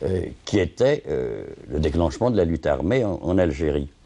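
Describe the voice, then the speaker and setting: Speaking very slowly, a man with a very deep, low pitch and a dark, mellow tone uses vocal fry and lively intonation. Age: old. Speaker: retired theatre administrator, former activist. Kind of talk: interview testimony. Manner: halting.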